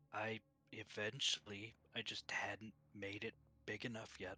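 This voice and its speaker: In a put-on character voice, a man speaks fairly slowly at a fairly low pitch with monotone, flat intonation, recorded dry and close with no echo. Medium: actual play. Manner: terse, matter-of-fact.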